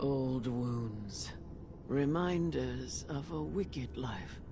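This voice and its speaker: A man's put-on character voice at medium pitch and a very slow pace, amid loud background noise. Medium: video game.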